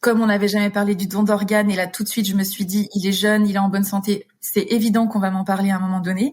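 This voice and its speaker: On a very clean recording with a silent background, a woman talks at a fairly quick pace in a somewhat breathy voice. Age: 30s. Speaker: widow. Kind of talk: interview answer. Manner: hesitant, emotional.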